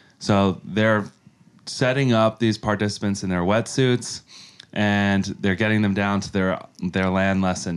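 In an unremarkable speaking voice with an American accent, a man talks at a moderate pace and a fairly low pitch. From New York (Yonkers). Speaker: charity leader. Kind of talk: interview.

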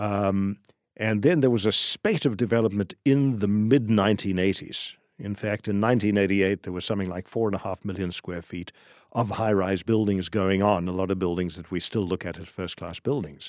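A man with a South African accent at a fairly quick pace, dry and close with no echo, on a very clean recording with a silent background. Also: fairly low pitch for a man, ordinary pitch variation. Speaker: business founder and commercial real estate tenant representative. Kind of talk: casual interview conversation.

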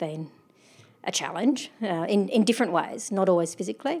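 With an Australian accent, a woman of medium pitch talks at a fairly quick pace with lively intonation in a very clean recording with a silent background. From South Australia. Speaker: mountaineer. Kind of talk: interview. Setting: hotel.

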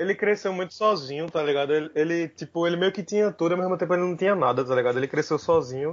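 Very fast speech comes from a man with a high pitch and ordinary pitch variation. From Brazil, Recife. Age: 20s. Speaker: stand-up comedian. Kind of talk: casual chat.

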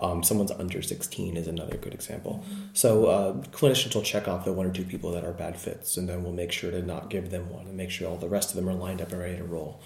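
Speaking very fast in a very deep, low voice, a man holds a monotone, flat intonation over noticeable background noise. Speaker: research psychologist. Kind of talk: interview about research, casual and explanatory. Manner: hesitant, many fillers.

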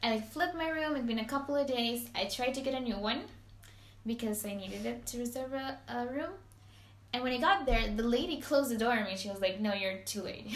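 A woman with a Spanish accent talks at a very fast pace, her pitch fairly high. Noticeable background noise is present. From Venezuela, Maracaibo. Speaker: podcast host. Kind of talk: casual chat. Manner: animated.

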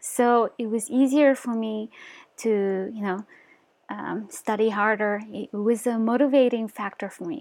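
In a Mongolian accent, a woman talks at a fairly slow pace with a fairly high pitch. The recording is very clean, with a silent background. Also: fairly even intonation. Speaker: motivational YouTuber. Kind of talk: casual vlog monologue. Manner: hesitant, many fillers.

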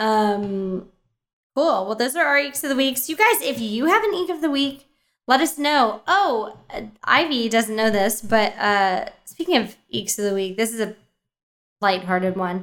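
Here is a woman with an unremarkable speaking voice and a fairly high pitch. She talks at a fairly slow pace with lively intonation. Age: 20s. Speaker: podcast co-host. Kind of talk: casual chat.

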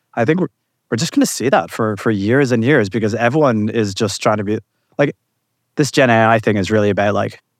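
A man speaks at a fairly quick pace. His medium pitch shows ordinary pitch variation. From outside the US. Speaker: tech startup founder. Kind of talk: event interview. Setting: live conference event. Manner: halting, many repetitions.

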